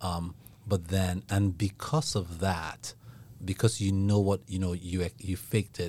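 In a very clean recording with a silent background, a man with an American accent speaks at a fairly slow pace in a very deep, low pitch. His tone is dark and mellow, somewhat breathy, with fairly even intonation. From Rockford, Illinois. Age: 40s. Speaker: podcast host, ministry leader. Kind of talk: casual chat.

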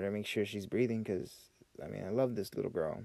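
This man's voice is very deep and low. The tone is dark and mellow. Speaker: podcast host, military veteran. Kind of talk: casual solo monologue. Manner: unscripted, rambling venting.

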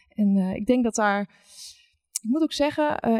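A woman talks at a moderate pace with a fairly high pitch and ordinary pitch variation, in an unremarkable speaking voice. The recording is very clean with a silent background, and the sound is dry and close with no echo. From Netherlands, rural village. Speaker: recruitment account manager. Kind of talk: panel discussion.

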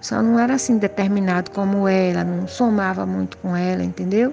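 A woman speaks at a fairly quick pace. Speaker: family member sharing memories. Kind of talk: personal storytelling interview.

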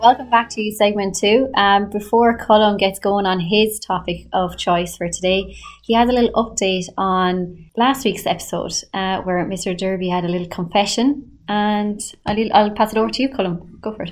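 In a very clean recording with a silent background, a woman talks at a moderate pace, her medium pitch held to fairly even intonation. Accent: Irish. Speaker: teacher hosting a school podcast. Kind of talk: casual panel chat.

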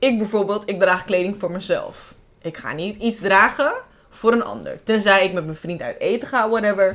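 Hers is an unremarkable speaking voice, a woman at a medium pitch and a moderate pace with big swings in loudness. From Amsterdam Bijlmer, Netherlands. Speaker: podcast host. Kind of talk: casual chat.

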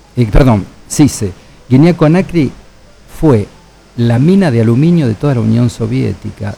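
Leaving long, frequent pauses, a man with a somewhat breathy, dark, mellow voice at a medium pitch talks fairly slowly with lively intonation. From Argentina. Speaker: biologist and humanitarian researcher. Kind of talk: radio interview.

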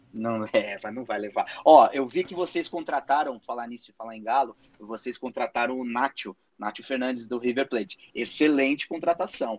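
Speaking at a moderate pace, a man with a plain, everyday voice and medium pitch shows ordinary pitch variation and big swings in loudness, in a dry, close recording with no echo. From Brazil. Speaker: podcast co-host, father. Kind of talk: casual chat. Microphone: too quiet.

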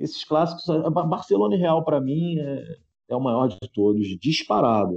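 With a dry, close sound and no echo, a man talks at a moderate pace in a dark, mellow tone at medium pitch, his pitch swinging very widely. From Niterói, Rio de Janeiro, Brazil. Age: 40s. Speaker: football fan guest. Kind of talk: casual chat.

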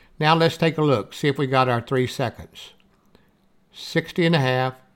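A speaker with a Southern US accent, recorded very cleanly against a silent background. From US South. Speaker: audiobook narrator and author. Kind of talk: tutorial. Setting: screen-share demonstration recording. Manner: casual, instructional.

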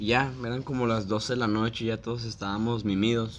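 His voice sits at a medium pitch for a man. The room around him echoes audibly. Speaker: childhood friend of the host. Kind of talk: casual chat.

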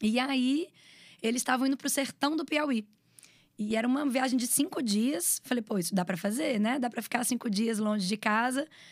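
Pitched high, a woman speaks at a moderate pace with ordinary pitch variation and very even loudness. The recording is very clean, with a silent background. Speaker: videomaker and communications professional. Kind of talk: casual interview chat.

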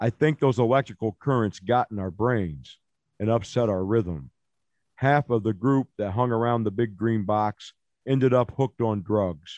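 Over a quiet background, a man with an American accent and a plain, everyday voice speaks at a moderate pace, with medium pitch and ordinary pitch variation. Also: dry, close sound with no echo. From Illinois. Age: 40s. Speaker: poet. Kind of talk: casual chat.

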